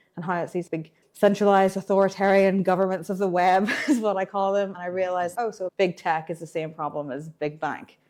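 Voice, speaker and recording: With an American accent, a woman speaks at a fairly quick pace in a fairly low pitch. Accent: Irish with some American. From Ireland. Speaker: blockchain developer relations engineer. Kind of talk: interview. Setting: tech conference.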